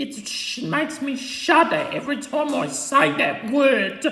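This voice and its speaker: In a cartoonish character voice, the speaker goes at a very slow pace with a slight echo. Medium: puppet. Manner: snappish, threatening.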